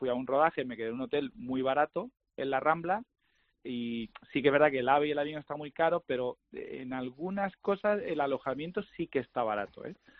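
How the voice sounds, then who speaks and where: This man has a plain, everyday voice, pitched fairly high, with ordinary pitch variation at a moderate pace. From Andalusia. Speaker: golf industry guest. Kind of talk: casual interview. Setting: phone call.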